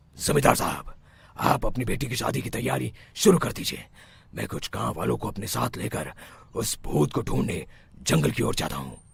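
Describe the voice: Doing a cartoonish character voice, a man at a fairly low pitch makes very wide pitch swings. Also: moderate pace.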